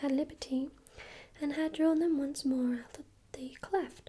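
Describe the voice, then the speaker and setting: Someone speaks softly at a moderate pace, in a calm tone. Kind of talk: ASMR book reading of a fairy tale, bedtime story. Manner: soft-spoken, calm, relaxing.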